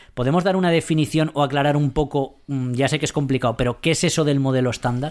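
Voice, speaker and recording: Talking very fast with hardly any pauses, a man with a fairly high pitch keeps his loudness very even. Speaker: science radio host. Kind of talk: casual chat.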